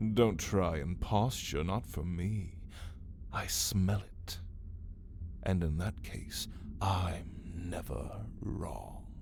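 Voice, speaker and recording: A man uses a put-on character voice with a very deep, low pitch, speaking at a very slow pace with long, frequent pauses over clear background noise. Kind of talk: ASMR roleplay. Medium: audio drama. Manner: languid, mocking, theatrical.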